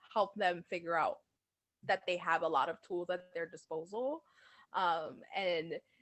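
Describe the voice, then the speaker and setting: Over music in the background, a woman talks at a moderate pace and medium pitch with ordinary pitch variation. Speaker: entrepreneur and guest speaker. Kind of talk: interview. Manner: loud; energetic.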